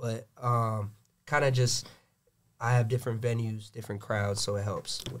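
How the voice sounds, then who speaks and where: A somewhat breathy man with an American accent talks at a moderate pace and medium pitch, his intonation monotone and flat. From Gwinnett, Georgia, US. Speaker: DJ. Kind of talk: casual chat.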